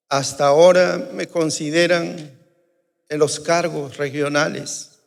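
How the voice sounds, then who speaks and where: Very slow speech comes from a man with a fairly high voice. His intonation stays fairly even. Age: 60s. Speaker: pastor. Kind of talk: sermon. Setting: church.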